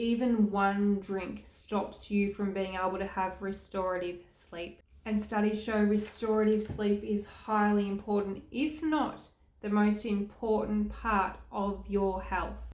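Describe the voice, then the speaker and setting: In an Australian accent, a woman of medium pitch speaks with fairly even intonation, and audible room echo surrounds her voice. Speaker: health and recovery youtuber. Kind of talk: informative vlog talk to camera.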